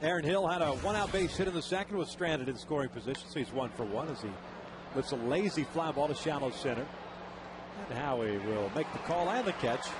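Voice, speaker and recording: Over noticeable background noise, a man with a fairly high voice and an American accent talks very fast with lively intonation. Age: 40s. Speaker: baseball play-by-play announcer. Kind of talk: live commentary.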